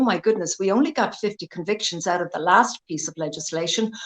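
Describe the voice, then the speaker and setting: In an Irish accent, a woman speaks at a moderate pace with a medium pitch and ordinary pitch variation, the sound dry and close with no echo. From Ireland. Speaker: lawyer. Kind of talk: interview.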